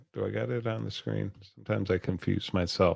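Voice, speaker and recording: Mumbling in a fairly low pitch, a man speaks with fairly even intonation. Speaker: news show host. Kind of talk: solo online news commentary. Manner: halting.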